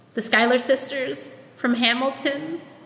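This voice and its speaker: High-pitched and fairly slow, a woman's voice comes through. Audible room echo and noticeable background noise surround her. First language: Tagalog. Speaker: preacher and minister. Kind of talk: sermon.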